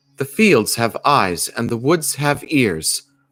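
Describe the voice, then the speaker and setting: A fairly slow, robotic put-on character voice from a man with a fairly high pitch. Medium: read story. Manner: matter-of-fact.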